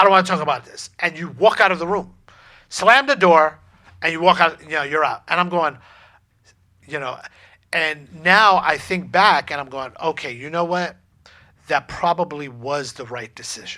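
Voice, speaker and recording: A man's high, bright, sharp voice with ordinary pitch variation and long, frequent pauses. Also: moderate pace. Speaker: relationship podcast co-host. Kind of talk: casual chat. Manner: halting, stumbling over words.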